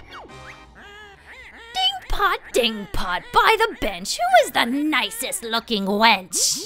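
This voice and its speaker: A put-on character voice, pitched high, speaks very slowly with very wide pitch swings. Clear music plays in the background. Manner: cackling, rhyming, theatrical.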